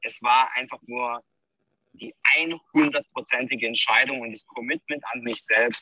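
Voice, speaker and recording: The recording is dry and close, with no echo. In it, a man talks very slowly. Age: 30s. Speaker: crypto entrepreneur, former police officer. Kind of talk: interview. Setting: video call.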